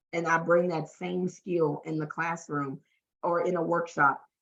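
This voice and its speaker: A woman speaks with a Southern US accent. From US South, Louisiana. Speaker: talent development trainer and workshop facilitator. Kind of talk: podcast interview.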